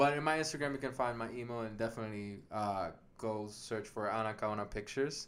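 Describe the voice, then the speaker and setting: A fairly quick pace with ordinary pitch variation. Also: man, medium pitch for a man. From Puerto Rico, mountain region. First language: Spanish. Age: 20s. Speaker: writer and film producer. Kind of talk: casual chat. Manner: halting.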